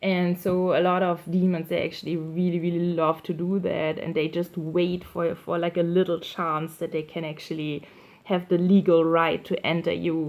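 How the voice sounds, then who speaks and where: A woman speaks with a non-native accent in a monotone, flat intonation, with hardly any pauses. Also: fairly low pitch for a woman, moderate pace. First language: not English. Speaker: YouTuber sharing targeted individual experiences. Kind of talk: personal monologue video. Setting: indoors at night by candlelight. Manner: halting, many fillers and repetitions.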